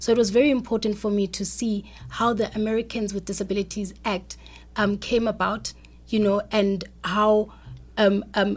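Here a woman speaks at a moderate pace, medium in pitch with vocal fry. Her delivery is a flat monotone in a very clean recording with a silent background. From South Africa. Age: young. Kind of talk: radio interview.

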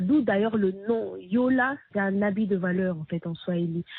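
Lively intonation colors a woman's unremarkable speaking voice as she talks at a fairly slow pace. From DR Congo. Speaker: singer-songwriter and activist. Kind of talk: interview.

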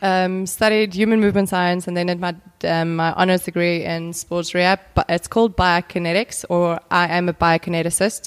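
In a dry, close sound with no echo, a woman with a fairly low voice speaks at a moderate pace in a monotone, flat way, barely pausing. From South Africa. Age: 20s. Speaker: biokineticist and personal trainer. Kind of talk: casual interview.

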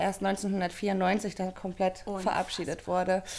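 A woman speaks at a medium pitch. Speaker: coach for mothers. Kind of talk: interview.

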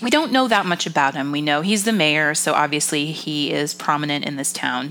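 Music plays in the background as a woman speaks with an American accent. Her pitch swings very widely. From Massachusetts. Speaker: podcast co-host. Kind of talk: casual chat.

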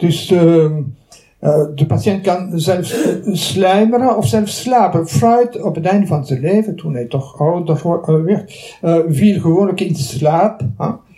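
Very slowly and with lively intonation, a high-pitched man with a Belgian French accent speaks amid audible room echo and noticeable background noise. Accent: Belgian French accent in Dutch. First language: French (speaking Dutch). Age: 70s. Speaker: retired psychology professor. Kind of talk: lecture. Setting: lecture hall with audience. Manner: halting.

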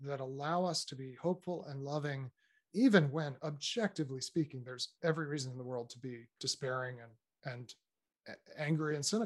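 Using a plain, everyday voice, a man lets his pitch vary in an ordinary way. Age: 50s. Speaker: author and speaker on faith and technology. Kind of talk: casual interview conversation.

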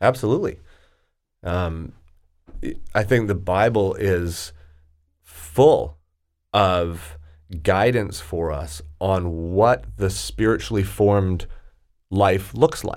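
A man with a very deep, low voice speaks at a very slow pace. Long, frequent pauses break up his lively intonation. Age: 40s. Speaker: executive coach. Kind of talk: casual chat.

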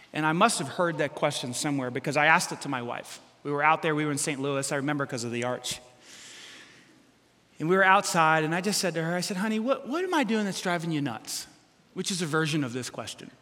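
With audible room echo, a man with a bright, sharp tone and fairly high pitch talks at a very fast pace with lively intonation. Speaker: pastor. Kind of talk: sermon. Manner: animated.

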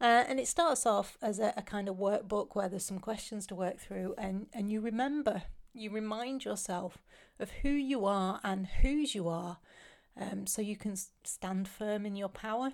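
On a very clean recording with a silent background, a woman with a British accent speaks at a moderate pace and medium pitch, with ordinary pitch variation. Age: 40s. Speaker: podcast host. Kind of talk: casual monologue. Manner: halting.

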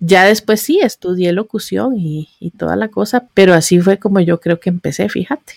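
A plain, everyday voice from a woman, medium in pitch with ordinary pitch variation, moderate pace, hardly any pauses, and a dry, close sound with no echo. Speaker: podcaster and digital marketing blogger. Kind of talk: interview.

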